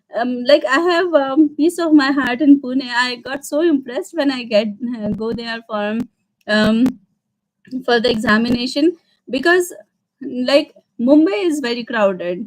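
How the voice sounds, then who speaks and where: A woman speaks fairly slowly in an Indian accent, leaving long, frequent pauses. Her high voice has lively intonation. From India, Madhya Pradesh. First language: Hindi. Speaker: vlogger. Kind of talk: casual Q&A livestream. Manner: halting, many fillers.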